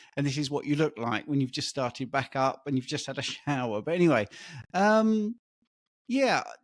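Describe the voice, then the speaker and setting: At a moderate pace, a man with an English accent speaks at a fairly high pitch with lively intonation. The recording is very clean, with a silent background. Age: 60s. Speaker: diet coach. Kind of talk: interview.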